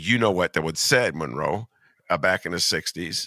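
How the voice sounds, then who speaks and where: This man has a very deep, low pitch with vocal fry and a bright, sharp tone, moving at a moderate pace. His intonation is lively and his delivery animated, in a dry, close sound with no echo. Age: 60s. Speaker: podcast host. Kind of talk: casual political chat.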